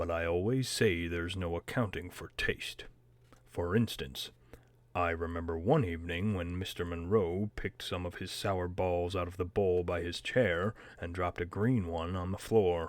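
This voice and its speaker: This man puts on a character voice with a very deep, low pitch. He talks at a moderate pace. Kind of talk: read-aloud audiobook narration. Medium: read story.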